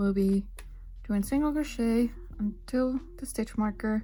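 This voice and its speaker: Very slow woman's voice with a non-native accent, fairly high pitch and ordinary pitch variation, music in the background. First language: not English. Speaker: crochet designer. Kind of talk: tutorial narration.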